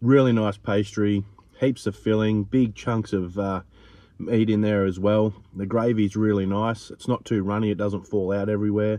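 A man's fairly low voice, slightly mellow in tone, with fairly even intonation at a moderate pace.

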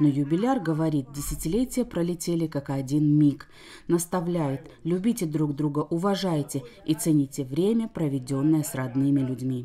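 At a moderate pace, a woman with a very deep, low pitch and a dark, mellow tone speaks with lively intonation. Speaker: TV news reporter. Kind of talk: TV news report narration.

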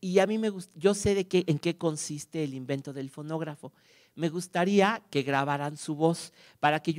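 A man talks at a moderate pace in a fairly high pitch, with ordinary pitch variation. His loudness swings widely against a quiet background. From Mexico. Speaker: archive director and music scholar; conference speaker. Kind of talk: lecture. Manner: halting; warm. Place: stage. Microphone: handheld.

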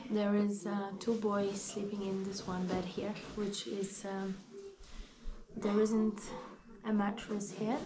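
A woman's very slow, flat, monotone delivery with long, frequent pauses over noticeable background noise. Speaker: travel vlogger. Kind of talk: casual vlog chat. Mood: relaxed, amused. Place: home room. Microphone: phone near.

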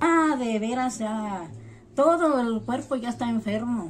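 Over light background noise, a woman speaks very slowly with ordinary pitch variation. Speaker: interviewee. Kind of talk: interview answer. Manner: weak, strained voice of a frail woman. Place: home room. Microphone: phone near.

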